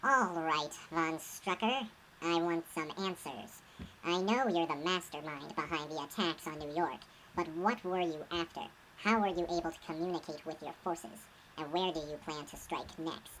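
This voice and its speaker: A woman's put-on character voice, fairly low in pitch, at a moderate pace, with clear background noise. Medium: machinima. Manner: blunt, commanding.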